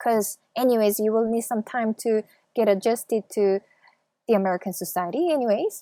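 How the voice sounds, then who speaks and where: A woman with a Korean accent speaks at a moderate pace in a dark, mellow, fairly high voice, captured in a dry, close sound with no echo on a very clean recording with a silent background. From South Korea. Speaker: YouTuber. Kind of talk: interview.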